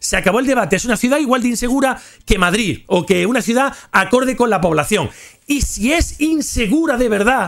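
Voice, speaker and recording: A man with a Spanish accent speaks at an extremely high pitch and a moderate pace. His tone is animated, with faint music in the background. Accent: Spanish (Spain). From Spain. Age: 40s. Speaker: gaming youtuber. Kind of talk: casual storytelling livestream. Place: home room. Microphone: studio mic.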